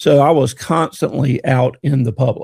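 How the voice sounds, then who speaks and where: In an American accent, a man speaks with a dark, mellow tone that is somewhat breathy. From north Florida (Monticello). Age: 60s. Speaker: car dealership employee, former golf professional. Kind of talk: casual chat.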